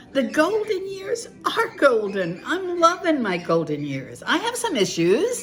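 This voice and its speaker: With an animated tone and very wide pitch swings, a woman speaks at a fairly slow pace amid audible room echo and music in the background. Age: 70s. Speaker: devotional author and video blogger. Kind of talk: casual monologue.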